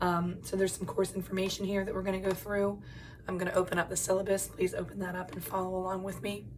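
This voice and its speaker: A woman's medium-pitched voice at a very fast pace in monotone, flat intonation, with noticeable background noise and audible room echo. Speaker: college English instructor. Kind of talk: video lecture. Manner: casual, frequent filler ums.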